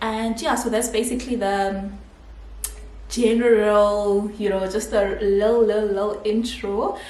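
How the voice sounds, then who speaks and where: A woman with a South African accent, fairly high pitch and monotone, flat intonation at a fairly slow pace, amid noticeable background noise and audible room echo. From South Africa, Pretoria (Mamelodi township). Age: 20s. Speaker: vlogger, dental student. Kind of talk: casual Q&A vlog.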